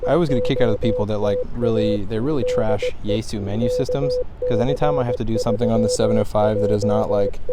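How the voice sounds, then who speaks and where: Noticeable background noise and audible room echo surround a man who speaks at a very fast pace. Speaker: ham radio operator. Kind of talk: casual vlog narration. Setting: outdoors at a state park.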